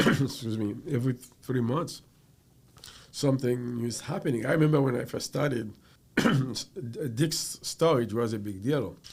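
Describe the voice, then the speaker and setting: This man's voice is somewhat breathy. His pace is moderate. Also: medium pitch for a man, ordinary pitch variation. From Haiti. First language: French. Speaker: computer professional. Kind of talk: casual interview. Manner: halting.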